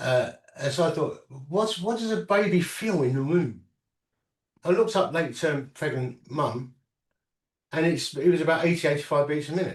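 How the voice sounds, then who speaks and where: A man with an English accent at a fairly high pitch, moderate pace and ordinary pitch variation, with long, frequent pauses. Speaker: inventor and entrepreneur with Parkinson's. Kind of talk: interview. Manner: halting.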